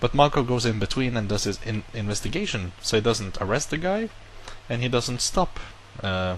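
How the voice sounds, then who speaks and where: A man's medium-pitched voice with a non-native accent, lively intonation and a fairly quick pace. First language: not English. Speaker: YouTuber. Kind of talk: casual vlog monologue. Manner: casual, self-correcting.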